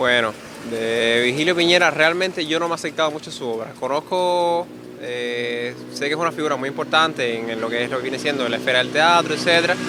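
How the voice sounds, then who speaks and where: Noticeable background noise sits under a man talking at a fairly quick pace. His pitch is medium with ordinary variation. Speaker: person interviewed on the street. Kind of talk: street interview. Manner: hesitant.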